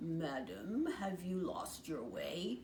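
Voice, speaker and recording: A woman puts on a character voice in a fairly low pitch, with clear background noise behind her. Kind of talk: bedtime story. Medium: read story. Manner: courteous, smooth, falsely kind.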